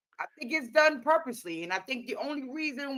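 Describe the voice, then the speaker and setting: Projecting a raised voice, a woman speaks at a high pitch with a bright, sharp tone and very wide pitch swings. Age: 50s. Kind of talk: casual chat.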